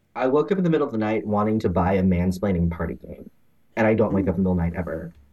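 Speaking in an American accent, the voice has a dark, mellow tone. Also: man. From Texas. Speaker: board game designer and studio founder. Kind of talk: interview.

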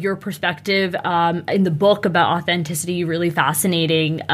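At a moderate pace and hardly pausing, a woman with a fairly low pitch speaks in fairly even intonation over noticeable background noise. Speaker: podcast co-host. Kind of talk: casual interview.

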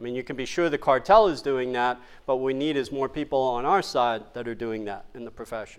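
Talking at a fairly quick pace with hardly any pauses, a man uses a plain, everyday voice at medium pitch, with ordinary pitch variation and an American accent. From New York City (Queens). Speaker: chiropractic lecturer. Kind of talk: lecture. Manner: conversational.

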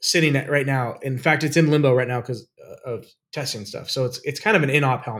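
A man talks at a fairly quick pace in a fairly high pitch. It is a normal speaking voice. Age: 40s. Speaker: aviation podcast co-host, aerobatic pilot. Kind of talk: casual chat.

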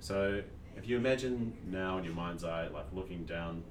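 Amid noticeable background noise and audible room echo, a man with a New Zealand accent talks at a moderate pace in a very deep, low pitch with ordinary pitch variation. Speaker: emergency physician. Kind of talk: educational medical podcast chat.

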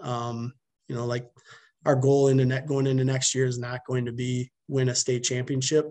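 Somewhat breathy and flat in a monotone, this voice moves at a fairly quick pace with a Wisconsin accent. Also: man. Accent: Upper Midwest (Wisconsin) American. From Wisconsin (Milton, dairy farm). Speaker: high school baseball coach. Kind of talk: podcast interview.

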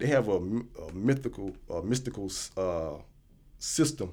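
With an American accent, a man shows lively intonation and vocal fry. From United States. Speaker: traveler back from West Africa. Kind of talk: casual discussion. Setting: studio.

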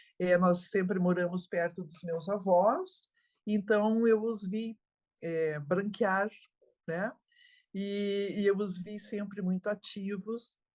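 A woman at medium pitch, very slow pace and fairly even intonation, with big swings in loudness. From Brazil, interior of Santa Catarina. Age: 70s. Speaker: geriatrician. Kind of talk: interview.

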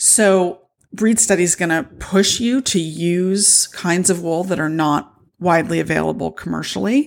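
In a very clean recording with a silent background, a woman speaks at a fairly low pitch, a moderate pace and ordinary pitch variation. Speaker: podcast host and wool shop owner. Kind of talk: casual solo podcast talk. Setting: home recording with noisy cats. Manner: animated.

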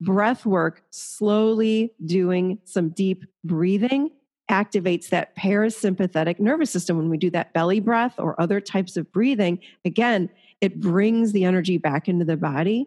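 In a normal speaking voice, a woman talks at a moderate pace with ordinary pitch variation and very even loudness. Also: medium pitch for a woman, quiet background. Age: 50s. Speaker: therapist and author. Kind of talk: interview conversation.

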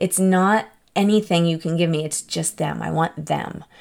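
The pitch varies in an ordinary way. The tone is animated, at a moderate pace. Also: woman. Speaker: podcast host. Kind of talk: casual solo podcast talk. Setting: home recording. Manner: animated, laughs often.

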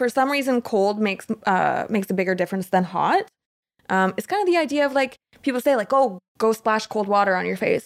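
A woman with an unremarkable speaking voice and a Canadian accent talks fairly quickly at a fairly high pitch with lively intonation, the sound dry and close with no echo. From Canada. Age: 20s. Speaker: mental health advocate. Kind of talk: interview.

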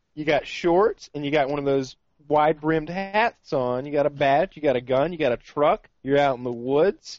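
A man speaks at a moderate pace in a plain, everyday voice, fairly high in pitch with ordinary variation. He hardly pauses at all. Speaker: podcast co-host. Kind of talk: casual chat.

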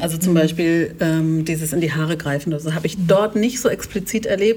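Speaking at a moderate pace, a woman uses a plain, everyday voice with fairly low pitch and ordinary pitch variation. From Germany, partly raised in Kenya. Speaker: anti-racism educator and author. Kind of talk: casual interview conversation.

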